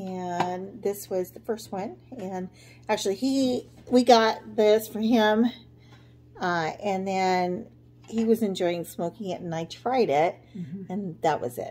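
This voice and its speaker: A woman speaks at a very slow pace. Her loudness swings widely. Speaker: vlogger. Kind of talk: casual vlog chat. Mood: relaxed, cheerful. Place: kitchen. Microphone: phone near.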